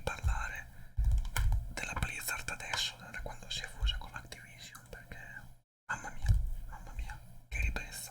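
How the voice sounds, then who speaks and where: A man whispering at a moderate pace. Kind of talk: ASMR whispered talk. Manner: whispered; improvised, rambling.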